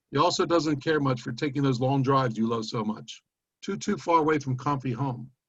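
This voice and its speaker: Somewhat breathy male speech at a medium pitch, fairly quick in pace, with ordinary pitch variation. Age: 70s. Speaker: poet. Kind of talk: poetry reading.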